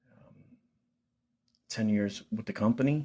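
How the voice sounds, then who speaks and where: Speaking fairly slowly in a Philadelphia accent, a man has a dark, mellow tone, fairly low pitch and ordinary pitch variation. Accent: Philadelphia American English. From Philadelphia, US Northeast. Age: 40s. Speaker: vlogger. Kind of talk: personal vlog testimony. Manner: casual, halting with fillers.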